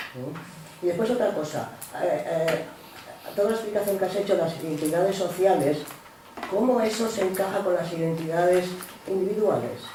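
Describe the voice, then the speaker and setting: Speech at a fairly quick pace comes with long, frequent pauses and noticeable background noise. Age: 60s. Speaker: seminar participant. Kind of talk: seminar discussion question. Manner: halting.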